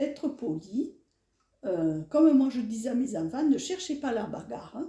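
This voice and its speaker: A woman speaks at a fairly slow pace in a high pitch with a dark, mellow tone and very wide pitch swings. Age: 70s. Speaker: elderly interviewee. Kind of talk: interview. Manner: animated.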